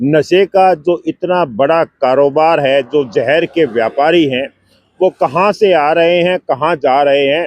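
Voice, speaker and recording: A man with an ordinary speaking voice talks at a fairly high pitch with ordinary pitch variation. His loudness stays very even, and the sound is dry and close with no echo. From Haryana, Hisar district. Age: 60s. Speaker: retired official and cycling campaigner. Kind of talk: interview.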